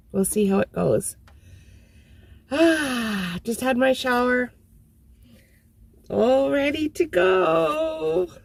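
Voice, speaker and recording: Noticeable background noise sits behind a woman with a high pitch and very wide pitch swings. She speaks at a very slow pace with long, frequent pauses. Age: 60s. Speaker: van dweller, vlogger. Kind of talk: casual talk to camera.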